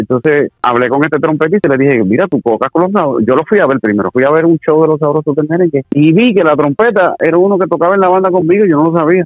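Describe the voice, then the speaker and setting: This man speaks at a very fast pace with hardly any pauses. His pitch is fairly high and his loudness is very even. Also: lively intonation. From Puerto Rico, Corozal. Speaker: singer. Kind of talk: interview. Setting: phone call.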